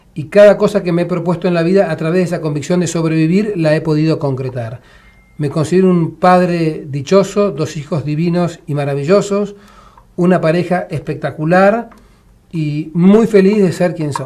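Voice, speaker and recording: Noticeable background noise sits behind a man with a high pitch. He speaks at a moderate pace with ordinary pitch variation. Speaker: war veteran. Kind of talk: casual chat.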